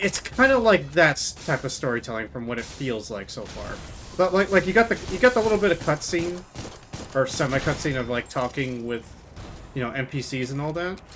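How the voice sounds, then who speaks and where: Loud and fairly quick, a man speaks at a fairly high pitch with very wide pitch swings. There is noticeable background noise. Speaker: video game streamer. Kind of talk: live gameplay commentary. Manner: halting, many restarts.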